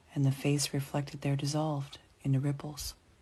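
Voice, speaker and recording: In an American accent, a woman with a very deep, low pitch and a somewhat breathy voice speaks at a moderate pace over a quiet background. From USA. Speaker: storyteller reading for learners. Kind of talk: reading aloud.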